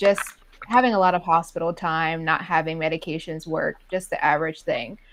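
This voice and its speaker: A woman's normal speaking voice, fairly low in pitch, at a moderate pace with ordinary pitch variation. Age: 20s. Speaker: IBD patient sharing her story. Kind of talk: patient interview.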